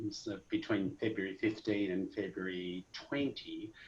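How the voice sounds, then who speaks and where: With an Australian accent, a man speaks at a fairly slow pace. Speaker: medical device executive, cardiologist. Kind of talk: interview. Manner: hesitant, many fillers.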